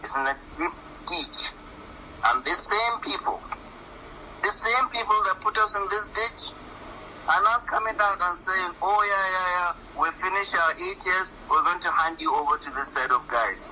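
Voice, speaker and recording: A man with a northern Nigerian accent talks at a moderate pace in a high pitch. His intonation is lively, broken by long, frequent pauses. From northern Nigeria (Katsina). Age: 60s. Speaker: professor, political commentator. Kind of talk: radio interview. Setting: radio studio. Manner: impassioned.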